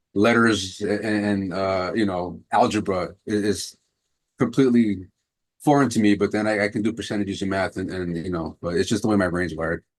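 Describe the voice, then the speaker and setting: A man with a New York accent, fairly low in pitch, at a moderate pace with fairly even intonation. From New York, Queens. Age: 40s. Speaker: personal trainer and martial arts instructor. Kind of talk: interview. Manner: halting.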